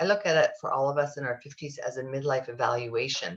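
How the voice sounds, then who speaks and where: A woman's voice sounds somewhat breathy. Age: 60s. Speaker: sex therapist. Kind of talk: podcast interview.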